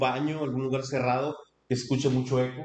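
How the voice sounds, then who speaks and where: This man's voice sits fairly high in pitch and moves at a moderate pace. The recording has audible room echo and noticeable background noise. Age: 30s. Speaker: human resources manager. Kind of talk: interview. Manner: halting.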